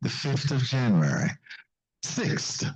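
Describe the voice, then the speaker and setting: A man speaks at a fairly slow pace and a medium pitch. His tone is dark and mellow, somewhat breathy. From Jamaica. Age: 80s+. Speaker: pastor. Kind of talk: seminar talk. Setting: church with audience.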